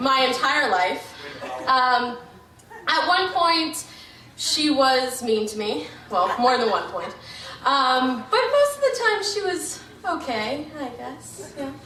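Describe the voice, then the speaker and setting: In a high-pitched, raised and projected voice, a woman speaks at a very slow pace with very wide pitch swings and long, frequent pauses, amid audible room echo and noticeable background noise. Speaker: wedding toast giver, sibling of bride. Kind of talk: wedding toast. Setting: wedding reception with audience. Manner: loud.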